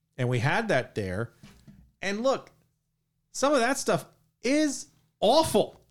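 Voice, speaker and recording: Speaking at a very slow pace with long, frequent pauses, a man uses a high pitch and very wide pitch swings in a very clean recording with a silent background. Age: 50s. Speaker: podcast co-host. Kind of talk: casual chat.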